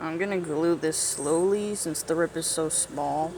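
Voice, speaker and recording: The speech moves at a fairly slow pace beneath noticeable background noise. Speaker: paper dragon puppet maker. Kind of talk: casual craft tutorial voiceover.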